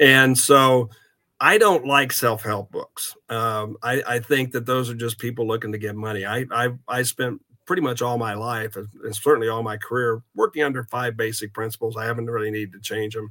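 Against a silent background in a very clean recording, a man with a Midwestern American accent talks at a moderate pace and medium pitch, his bright, sharp tone held to fairly even intonation. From US Midwest, southeast Kansas. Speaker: banking credit executive. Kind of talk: interview.

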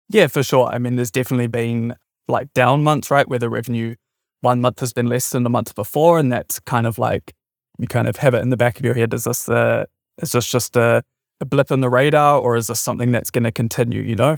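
A very fast New Zealand accent with fairly even intonation, in a very clean, dry and close recording with a silent background and no echo. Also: man, medium pitch for a man. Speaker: software startup founder. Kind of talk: interview.

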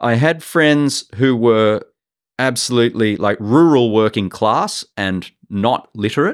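A man with an Australian accent, medium pitch, ordinary pitch variation and a fairly slow pace, in a very clean recording with a silent background. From Australia, Sydney. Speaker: professor and art curator. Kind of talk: interview. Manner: halting, many fillers.

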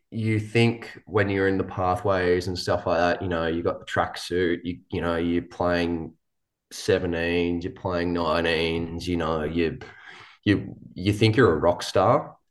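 In an Australian accent, a man with a very deep, low pitch talks at a fairly slow pace with fairly even intonation. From New South Wales, Australia. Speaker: professional cricketer. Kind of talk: casual interview. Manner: hesitant, many fillers.

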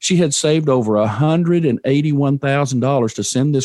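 Against a quiet background, a man speaks at a fairly quick pace with ordinary pitch variation and a dry, close sound with no echo. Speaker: financial advisor and podcast host. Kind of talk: interview conversation. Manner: storytelling.

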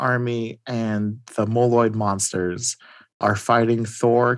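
The text is read aloud plainly against a quiet background.

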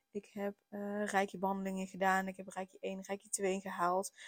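The sound is dry and close, with no echo. It is a very clean recording against a silent background. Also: woman. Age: 30s. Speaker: podcast host, parenting coach. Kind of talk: personal monologue. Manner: hesitant, many filler words.

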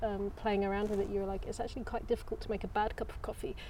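This is a woman speaking. She has an English accent. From England. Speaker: restaurant tea and coffee specialist. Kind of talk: casual interview chat.

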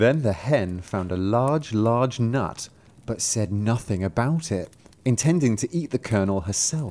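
The intonation stays lively as the text is read aloud in a natural voice.

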